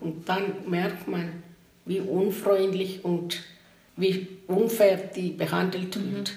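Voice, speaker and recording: A woman with a non-native accent speaks at a very slow pace in monotone, flat intonation. Audible room echo and noticeable background noise are present. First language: not German (speaking German). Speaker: interviewee. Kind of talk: interview testimony.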